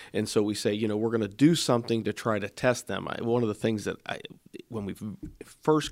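In an ordinary speaking voice, a man with an American accent talks at a fairly quick pace and fairly low pitch, his intonation fairly even, on a very clean recording with a silent background. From Ohio, Springfield area. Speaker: state legislator and manufacturing business owner. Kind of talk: interview.

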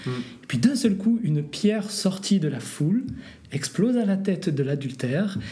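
A high-pitched man speaks with lively intonation and a slight southern French accent. Room echo is audible, along with noticeable background noise. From southern France. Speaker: pastor and New Testament scholar. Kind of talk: interview on biblical textual criticism. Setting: borrowed office at a church union headquarters.

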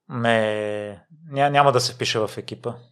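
The recording is very clean and the background silent. A man talks throughout. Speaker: podcast host. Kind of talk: interview.

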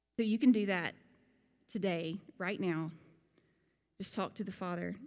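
A woman with a Southern US accent speaks at a moderate pace and medium pitch, her intonation fairly even. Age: 40s. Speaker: pastor. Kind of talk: sermon. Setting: church.

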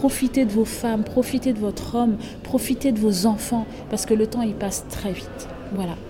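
Noticeable background noise sits behind a woman who speaks at a moderate pace in a fairly high pitch. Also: fairly even intonation. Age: 30s. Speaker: accountant and business coach. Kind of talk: interview.

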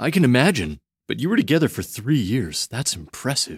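A man's put-on character voice at medium pitch, husky and rough-edged, with big pitch swings and a fairly quick pace, in a dry, close sound with no echo and a very clean recording against a silent background

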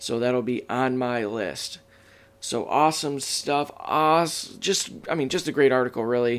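In an American accent, a man with a plain, everyday voice talks at a fairly slow pace, his medium pitch showing ordinary variation. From Michigan. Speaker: podcast host. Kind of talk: casual chat.

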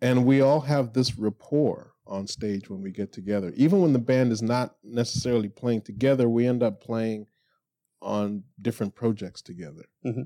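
A man talks in an ordinary speaking voice at a medium pitch and a moderate pace, with ordinary pitch variation. The sound is dry and close, with no echo. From Toronto, Canada, partly raised in Florida. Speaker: jazz bassist and bandleader. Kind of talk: casual interview. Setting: studio.

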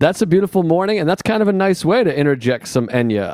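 In a very clean recording with a silent background and a dry, close sound free of echo, a man with a dark, mellow tone talks at a fairly quick pace, his pitch swinging very widely. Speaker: stand-up comedian, podcast guest. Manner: measured setup-punchline joke delivery.

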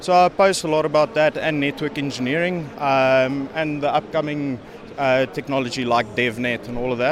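A man with a fairly high pitch speaks at a moderate pace and with ordinary pitch variation, with noticeable background noise behind him. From South Africa. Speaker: network engineer. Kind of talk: interview. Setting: conference venue. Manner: halting, many fillers.

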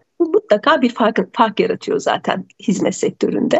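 Here a woman talks at a moderate pace. Her voice is high in pitch. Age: 40s. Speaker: lawyer and mediator. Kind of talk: radio interview.

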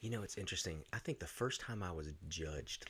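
Moving at a fairly quick pace, a man with an American accent speaks with vocal fry and ordinary pitch variation. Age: 40s. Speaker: punk musician. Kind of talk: casual chat.

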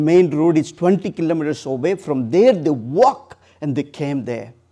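A man's dark, mellow tone in an Odisha accent against a quiet background. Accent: Indian (Odia) English. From India, Odisha (eastern India). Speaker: charity founder and missionary. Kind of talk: church talk. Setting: church with audience. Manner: halting.

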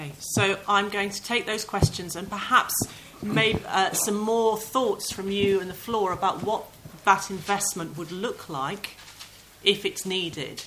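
Noticeable background noise accompanies a woman at medium pitch who speaks at a fairly slow pace with fairly even intonation. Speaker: session chair. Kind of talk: chaired panel discussion. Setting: conference hall with audience.

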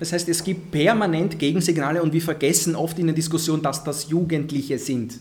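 Amid audible room echo, a man with a fairly high pitch speaks with fairly even intonation. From Vienna, Austria (Favoriten), Egyptian family. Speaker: political scientist, deradicalisation expert. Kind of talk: panel discussion. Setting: live recording with audience.

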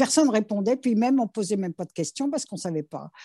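Her voice is fairly high in pitch, with a dark, mellow tone and lively intonation. The sound is dry and close with no echo, over a quiet background, from a woman. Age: 70s. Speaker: interviewee sharing life story. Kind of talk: testimony. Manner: halting.

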